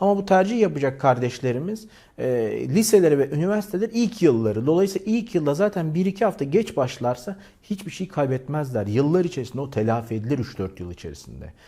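With very wide pitch swings and a fairly quick pace, a man's fairly high-pitched, somewhat breathy voice has a dark, mellow tone. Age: 40s. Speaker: YouTuber. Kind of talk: appeal to viewers.

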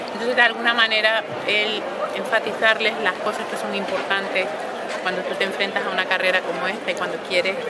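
Loud background noise runs under speech delivered at a fairly quick pace. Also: woman. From Canary Islands, Spain. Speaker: opera singer, mezzo-soprano. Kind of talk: interview answer. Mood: warm, reflective. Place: street.

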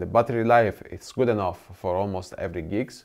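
A man with an unremarkable speaking voice talks at a moderate pace with fairly even intonation in a quiet background. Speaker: gear reviewer. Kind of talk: product review talk. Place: studio. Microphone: lapel.

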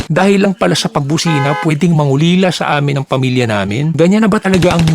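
The man talks at a very fast pace. His intonation is lively. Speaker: vlogger driver recounting road rage. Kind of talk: angry rant. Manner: indignant, sarcastic, rapid-fire; pointed rhetorical questions, mocking.

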